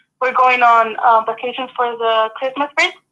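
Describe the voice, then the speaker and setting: A woman speaks at a moderate pace in a high, bright, sharp voice. Her intonation stays monotone and flat. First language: Spanish. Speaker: college student. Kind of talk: casual interview chat.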